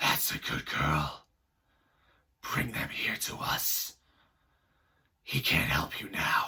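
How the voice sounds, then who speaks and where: A man puts on a husky, raspy character voice and speaks at a very slow pace. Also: medium pitch for a man. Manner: menacing, condescending.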